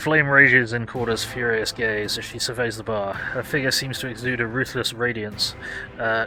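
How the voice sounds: The clip is someone reading. It is a natural reading voice.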